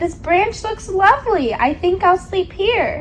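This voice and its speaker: A woman's put-on character voice, squeaky and extremely high-pitched, with very wide pitch swings and a fairly slow pace, over clear background noise. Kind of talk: bedtime story. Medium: read story. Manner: drowsy, polite.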